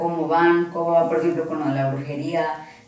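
Fairly low-pitched woman at a moderate pace, monotone and flat in intonation, with audible room echo and noticeable background noise. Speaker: partner of a paranormal investigator. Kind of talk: casual chat.

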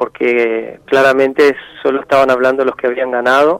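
A man speaks at a fairly slow pace. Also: dry, close sound with no echo. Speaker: musician and researcher. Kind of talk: radio interview. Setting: radio studio. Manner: halting, with many repetitions.

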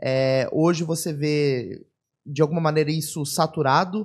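Fairly even intonation in a somewhat breathy voice. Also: man. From São Paulo, Brazil. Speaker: podcast host. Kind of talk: casual interview. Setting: studio.

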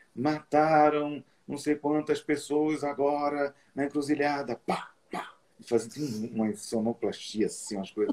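Speaking in a plain, everyday voice, a man with a fairly high pitch talks at a fairly slow pace with ordinary pitch variation. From Brazilian Northeast, Olinda. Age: 40s. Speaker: medium and psychology student. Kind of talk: interview on spirituality. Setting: live stream.

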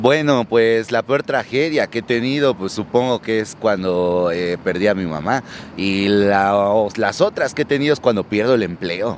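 Delivered at a fairly slow pace with ordinary pitch variation, the speech comes through noticeable background noise. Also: man, fairly low pitch for a man. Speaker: rock bassist. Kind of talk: street interview.

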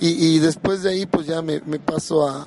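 Background noise is noticeable. A man talks at a fairly high pitch with fairly even intonation. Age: 40s. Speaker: teacher and union official. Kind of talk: interview. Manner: halting.

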